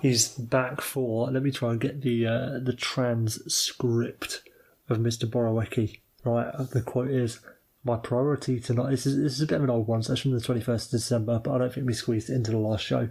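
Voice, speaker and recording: In a British accent, a man speaks at medium pitch and a fairly quick pace, somewhat breathy, with monotone, flat intonation and very even loudness. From Britain. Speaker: podcast co-host. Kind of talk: casual chat.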